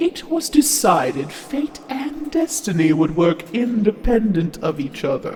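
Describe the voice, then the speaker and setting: A put-on character voice, fairly high in pitch with very wide swings, fairly slow but with hardly any pauses, over clear background noise. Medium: audio drama.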